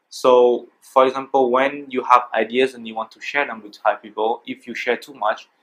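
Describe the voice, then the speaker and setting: With a French accent, a man speaks at a medium pitch and a moderate pace in a monotone, flat intonation. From France. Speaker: interviewee for a student class project. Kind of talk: interview. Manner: halting, with fillers and restarts.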